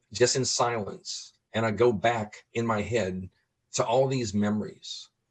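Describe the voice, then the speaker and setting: An American-accented man with an unremarkable speaking voice, medium pitch, ordinary pitch variation and a fairly slow pace. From New Orleans, US South. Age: 60s. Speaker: person living with Alzheimer's, advocate. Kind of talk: interview conversation.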